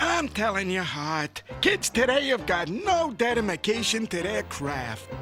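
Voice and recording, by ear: A cartoonish character voice moves at a fairly slow pace over clear music in the background. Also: man, high pitch for a man.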